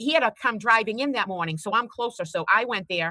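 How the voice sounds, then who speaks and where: In a Boston accent, a woman talks in an animated, bright, sharp tone with very wide pitch swings, recorded with a dry, close sound and no echo. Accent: Boston-area. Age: 50s. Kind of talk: casual chat.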